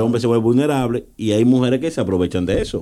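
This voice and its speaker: Over a silent background in a very clean recording, a man speaks in a dark, mellow tone with ordinary pitch variation. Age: 30s. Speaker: podcast co-host. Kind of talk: casual chat.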